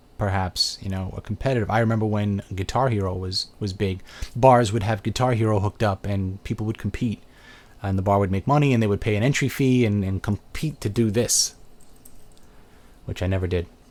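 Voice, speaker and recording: On a very clean recording with a silent background, a man with a Brooklyn accent talks fairly quickly at a fairly low pitch, his intonation fairly even. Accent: Brooklyn New York. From Brooklyn, New York. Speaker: video game reviewer and channel host. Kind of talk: casual live video chat answering viewer questions. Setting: live webcam video stream.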